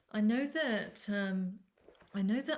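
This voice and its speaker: The speaker is a woman. She talks in an English accent. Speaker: animal communicator. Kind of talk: live webinar talk. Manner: loud.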